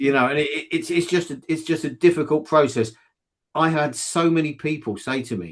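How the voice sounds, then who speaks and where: Against a quiet background, a man with a southern English accent speaks fairly fast at a fairly high pitch. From southeast England. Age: 60s. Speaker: fiction author. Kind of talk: interview. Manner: halting, many repetitions.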